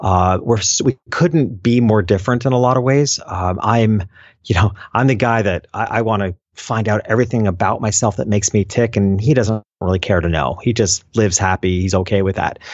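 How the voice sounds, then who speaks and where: A man with an ordinary speaking voice talks at a fairly quick pace, with a fairly low pitch and ordinary pitch variation. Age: 50s. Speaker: entrepreneur and business coach. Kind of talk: casual interview.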